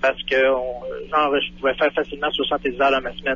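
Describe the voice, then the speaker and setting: A man talks in a fairly high pitch. Background noise is noticeable. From Quebec. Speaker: truck driver. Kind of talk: radio interview.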